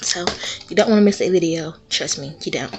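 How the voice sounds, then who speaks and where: There is music behind the speaker. The voice belongs to a woman. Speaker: YouTuber, home DIY and haul vlogger. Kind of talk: casual vlog haul review. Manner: animated.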